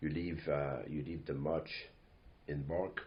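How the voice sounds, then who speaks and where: A man in a strong Quebec accent, with a very deep, low pitch, a fairly slow pace and audible room echo. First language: French. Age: 60s. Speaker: company owner and CEO. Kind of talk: podcast monologue. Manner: halting, many fillers.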